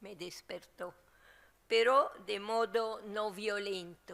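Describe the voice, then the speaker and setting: A woman talks at a very slow pace. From Latin America. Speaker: theologian. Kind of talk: book presentation talk. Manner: halting, with frequent fillers and repetitions.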